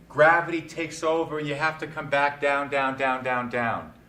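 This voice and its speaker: The bright, sharp tone shows ordinary pitch variation, with audible room echo around it. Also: man. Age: 60s. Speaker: poetry speaker leading a discussion. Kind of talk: talk on poetry with group discussion. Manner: animated.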